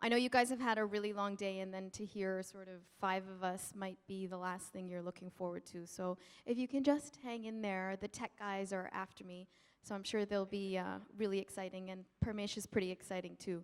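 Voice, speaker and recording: Using an unremarkable speaking voice, a woman with a Canadian accent speaks at a fairly quick pace, her medium pitch held to fairly even intonation. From Canada. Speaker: nonprofit founder, panelist. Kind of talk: panel talk. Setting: stage with audience.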